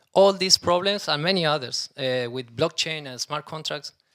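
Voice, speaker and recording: A man in a Spanish accent, fairly high in pitch with ordinary pitch variation, bright, sharp tone and fairly quick pace, on a very clean recording with a silent background. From Argentina. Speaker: startup CEO. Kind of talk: conference talk. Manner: halting.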